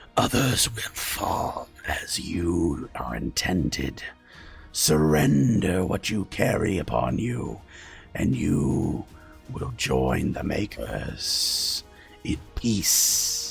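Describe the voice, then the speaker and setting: A man's raspy, put-on character voice, very deep and low, with very wide pitch swings and a very slow pace over clear background music. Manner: booming whisper, threatening.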